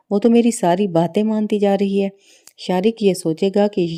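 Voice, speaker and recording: A woman uses a normal speaking voice at medium pitch with fairly even intonation. The very clean recording has a silent background and a dry, close sound with no echo. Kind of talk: drama plot review voice-over.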